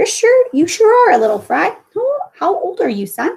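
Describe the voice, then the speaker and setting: A woman's put-on character voice, squeaky and extremely high, with very wide pitch swings at a moderate pace. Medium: read story. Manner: folksy, drawling, friendly.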